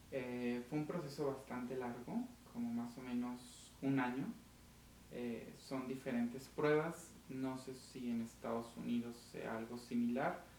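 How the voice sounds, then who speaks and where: A man with a Mexican accent and a medium pitch speaks at a fairly slow pace with fairly even intonation, with audible room echo around him. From Mexico (Aguascalientes). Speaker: diplomat. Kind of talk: interview.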